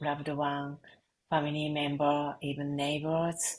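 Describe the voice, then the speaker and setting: A woman with a Japanese accent speaks at a moderate pace in a very deep, low pitch and a monotone, flat intonation. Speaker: reiki and sound healing practitioner. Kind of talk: interview conversation. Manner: halting.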